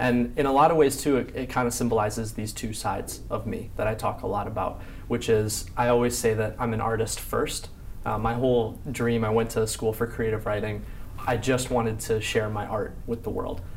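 Speaking at a fairly quick pace with an American accent, a man at medium pitch keeps his intonation fairly even amid noticeable background noise and audible room echo. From Chicago. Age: 20s. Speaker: writer and entrepreneur. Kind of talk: interview.

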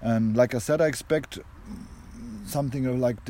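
The tone is dark and mellow, delivered at a moderate pace. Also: man.

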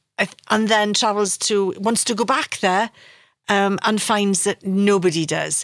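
A woman talks with a Welsh accent. Her pace is moderate. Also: dry, close sound with no echo, very clean recording, silent background. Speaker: podcast host. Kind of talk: interview conversation.

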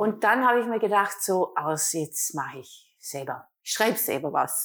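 A woman speaks with very wide swings in pitch. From Austria, Vorarlberg. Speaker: self-love and couples coach, author. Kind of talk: interview.

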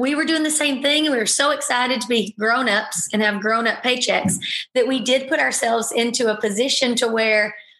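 A woman speaks fairly quickly at a high pitch with fairly even intonation. Audible room echo surrounds her voice. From Alabama. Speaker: podcast host, military spouse. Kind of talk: casual interview.

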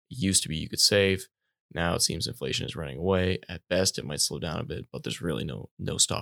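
Very fast and lively in intonation, a man with a very deep, low pitch, a bright, sharp tone, and vocal fry sounds dry and close with no echo on a very clean recording with a silent background. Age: 20s. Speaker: podcast co-host. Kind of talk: casual interview.

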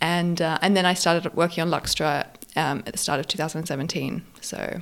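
A woman's fairly low voice with vocal fry, at a fairly quick pace. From Australia, Sydney. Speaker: fashion accessories brand founder. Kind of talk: interview. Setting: in person in an apartment.

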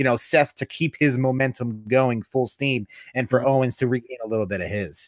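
An ordinary speaking voice from a man at medium pitch, with ordinary pitch variation, a dry, close sound with no echo and a very clean recording with a silent background. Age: 30s. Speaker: wrestling podcast co-host. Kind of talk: casual chat.

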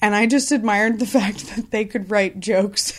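With an American accent, a woman talks in a normal speaking voice at medium pitch, showing ordinary pitch variation. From Washington State, Columbia River Gorge. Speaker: actress and improv teacher. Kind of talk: casual interview. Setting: in a house.

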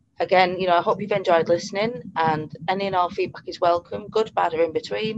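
With a British accent, a woman speaks at a moderate pace, fairly low in pitch with ordinary pitch variation. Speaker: podcast host, pet bereavement counsellor. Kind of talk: podcast interview. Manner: hesitant, many fillers.

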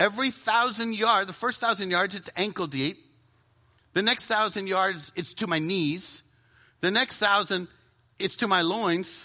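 Over a quiet background, a man with an American accent projects a raised, high-pitched voice with a bright, sharp tone and ordinary pitch variation, moving at a fairly slow pace with long, frequent pauses. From US South. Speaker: preacher. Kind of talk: sermon.

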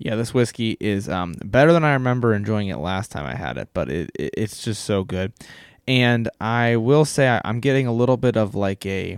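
Speaking with a Midwestern American accent, a man at medium pitch uses lively intonation at a moderate pace, in a very clean recording with a silent background and a dry, close sound with no echo. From US Midwest, Ohio. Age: 20s. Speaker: podcast host. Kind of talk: casual solo podcast monologue.

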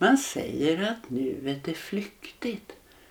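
Speaking at a very slow pace, a woman uses a very deep, low voice that moves through very wide pitch swings. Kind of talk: guided meditation.

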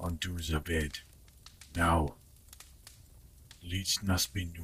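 A man uses a put-on character voice, very deep, low and rumbling, and quiet. He speaks very slowly in a flat monotone over clear background noise. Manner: quiet, commanding.

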